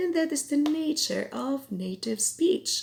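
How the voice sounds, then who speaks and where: A woman speaks with a Filipino accent at a very slow pace. Her pitch swings very widely. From Philippines (Cebuano-speaking region). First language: Cebuano. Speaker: language teacher. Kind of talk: tutorial.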